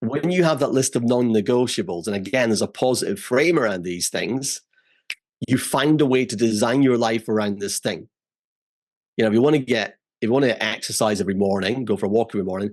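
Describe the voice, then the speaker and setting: Ordinary pitch variation marks a man speaking at a medium pitch. His pace is very fast. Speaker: memory expert. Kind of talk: casual chat.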